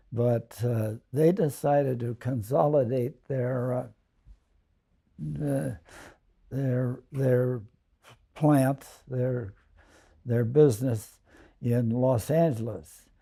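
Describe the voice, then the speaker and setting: A man's dark, mellow, somewhat breathy medium-pitched voice with an American accent, ordinary pitch variation, a very slow pace and long, frequent pauses. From US West Coast (Alameda, California). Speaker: family elder telling life story. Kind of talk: oral history reminiscence. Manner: halting, many fillers.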